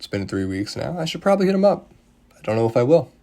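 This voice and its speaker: Quietly and at a fairly quick pace, a man talks with very wide pitch swings. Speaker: sports podcaster. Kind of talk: solo sports analysis podcast. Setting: at home. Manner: calmer than usual; quieter to avoid disturbing family.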